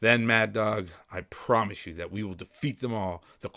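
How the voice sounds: Natural voice, reading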